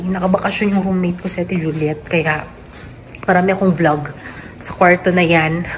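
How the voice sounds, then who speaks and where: A woman talks at a fairly quick pace in a fairly low pitch, her intonation monotone and flat. The room echo is audible, and background noise is noticeable. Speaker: nurse vlogger. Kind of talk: casual vlog.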